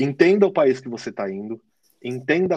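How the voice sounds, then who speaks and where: In a São Paulo accent, a man speaks at medium pitch with lively intonation. The sound is dry and close with no echo, against a quiet background. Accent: Paulistano Brazilian Portuguese. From São Paulo, Brazil. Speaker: digital marketing manager. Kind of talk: casual interview. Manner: halting, many fillers.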